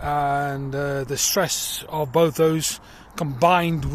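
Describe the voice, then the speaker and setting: With a South African accent, a man speaks somewhat breathily at a fairly high pitch in monotone, flat intonation. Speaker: social worker. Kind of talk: personal appeal video. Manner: hesitant, many fillers.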